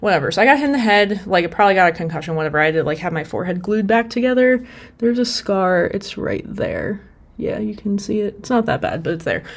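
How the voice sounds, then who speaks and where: A woman speaks at a very fast pace. Her medium-pitched voice has lively intonation. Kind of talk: casual talk to camera.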